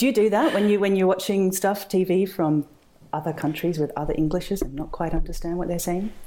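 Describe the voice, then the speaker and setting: Her medium pitch showing ordinary variation, a woman with an Australian accent and a dark, mellow tone speaks at a fairly quick pace. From rural Australia. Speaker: historical romance author. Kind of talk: casual interview chat.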